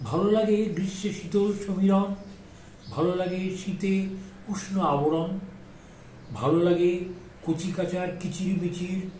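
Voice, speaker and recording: A man with a high-pitched voice talks with noticeable noise in the background. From Kolkata. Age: 80s+. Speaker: amateur poet. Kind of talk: poetry reading.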